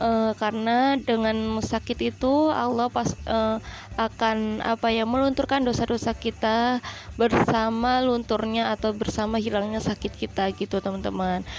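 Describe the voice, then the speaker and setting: A woman with a fairly high voice speaks fairly slowly in a monotone, flat intonation, her loudness very even throughout. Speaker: cooking vlogger. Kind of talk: voice-over narration. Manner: casual, with frequent hesitations.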